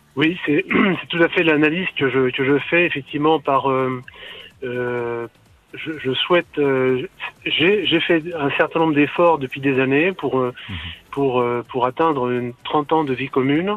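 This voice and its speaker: Over noticeable background noise, a man with a fairly high pitch talks at a very slow pace, with long, frequent pauses. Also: ordinary pitch variation. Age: 50s. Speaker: caller. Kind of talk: radio call-in. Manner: halting.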